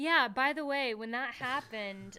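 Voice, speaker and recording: Here is a woman speaking. Her tone is bright and sharp. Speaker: NFL podcast host. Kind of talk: live draft show chat. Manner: casual, conversational.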